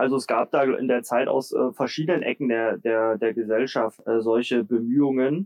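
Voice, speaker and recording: This is a man with an ordinary speaking voice at medium pitch. He talks at a fairly slow pace. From Germany, Leipzig (Saxony). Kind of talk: interview.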